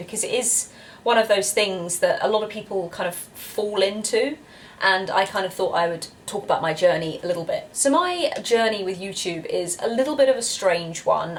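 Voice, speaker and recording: Noticeable background noise sits behind a woman with a British accent. She speaks at a medium pitch and moderate pace, with lively intonation. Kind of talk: casual talk to camera.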